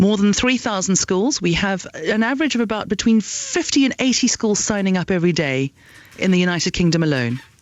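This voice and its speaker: A woman with a South African accent talks at a fairly quick pace, her pitch swinging very widely while her loudness stays very even, over noticeable background noise. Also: medium pitch for a woman. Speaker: education entrepreneur. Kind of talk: radio interview. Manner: halting.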